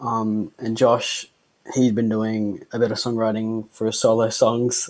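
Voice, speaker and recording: A man's medium-pitched voice with an Australian accent, fairly slow and monotone, on a very clean recording with a silent background. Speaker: band musician. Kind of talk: casual interview.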